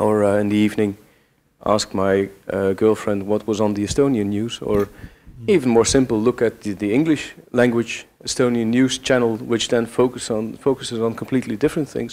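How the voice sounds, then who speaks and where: A man with a Dutch accent talks at a moderate pace in a medium-pitched voice. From Belgium. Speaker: audience member. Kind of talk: audience question. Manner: halting.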